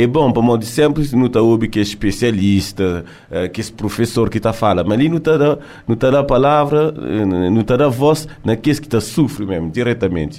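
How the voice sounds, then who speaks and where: A man speaks at a medium pitch with a dark, mellow tone. His intonation is lively and his pace fairly quick. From France, Cape Verdean family. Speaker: contest coordinator. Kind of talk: casual interview. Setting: studio.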